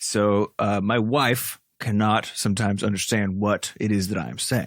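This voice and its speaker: A man mumbles at a moderate pace with a fairly low pitch and fairly even intonation. The recording is very clean, with a silent background. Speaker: game developer podcast co-host. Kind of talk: casual chat. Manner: mumbling; slurred, sounds slightly drunk.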